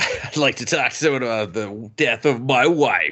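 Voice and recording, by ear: The speaker's pitch varies in an ordinary way while reading aloud in a natural voice.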